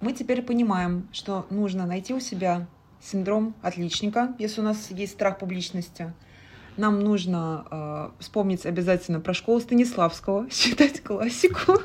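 Her voice is somewhat breathy, at a medium pitch with ordinary variation. The woman keeps a moderate pace. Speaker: podcast host. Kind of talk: interview. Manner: halting.

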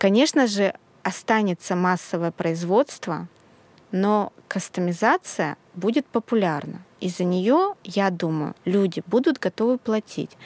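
The pace is very slow, with lively intonation. The sound is dry and close, with no echo. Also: woman, medium pitch for a woman. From Russia, outside Saint Petersburg. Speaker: sewing school founder and pattern designer. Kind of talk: casual chat.

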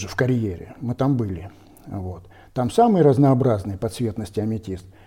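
Against a quiet background, a man speaks at medium pitch with a dark, mellow tone and ordinary pitch variation. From Russia, the Urals (Kizel coal basin). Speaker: geologist and stone carver. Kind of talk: casual interview.

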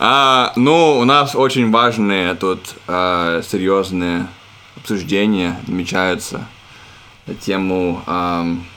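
A man's very deep, low voice at a very slow pace, with long, frequent pauses and noticeable background noise. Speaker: podcast co-host. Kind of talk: casual chat. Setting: remote, from girlfriend's room.

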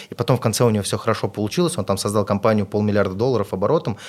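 A man with a fairly low pitch and ordinary pitch variation rattles along at a very fast pace. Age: 30s. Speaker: entrepreneur and investor. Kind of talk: podcast interview. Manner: casual.

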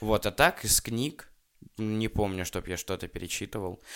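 A man with a normal speaking voice talks at a fairly low pitch with ordinary pitch variation in a very clean recording with a silent background. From Russia. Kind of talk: casual chat.

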